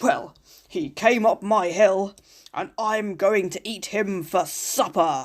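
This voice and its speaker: A female-sounding put-on character voice, raspy and raised to project, sits at a middle pitch and moves at a fairly slow pace. The recording is very clean with a silent background. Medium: read story. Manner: boastful, booming.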